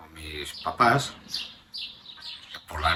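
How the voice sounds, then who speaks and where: The words come very slowly while noticeable background noise carries on. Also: man. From Spain, Burgos (Castile). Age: 70s. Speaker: grandfather interviewed about his life. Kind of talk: family oral history interview. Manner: hesitant, with many fillers and repetitions.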